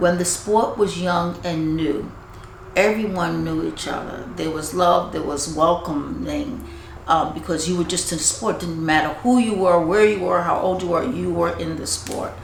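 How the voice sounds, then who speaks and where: A woman talks at a moderate speed with noticeable background noise around her. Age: 70s. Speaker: retired pro bodybuilder. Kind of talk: interview answer.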